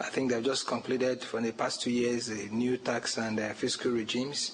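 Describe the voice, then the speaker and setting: The voice comes in a flat monotone at a moderate pace, with audible room echo and noticeable background noise. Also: man. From Nigeria. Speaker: conference presenter. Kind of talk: lecture. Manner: formal.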